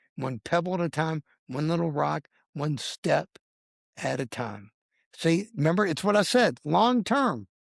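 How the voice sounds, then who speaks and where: A fairly high-pitched man at a fairly slow pace, with very wide pitch swings and long, frequent pauses, in a dry, close sound with no echo on a very clean recording with a silent background. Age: 60s. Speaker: health and fitness guest. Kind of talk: interview.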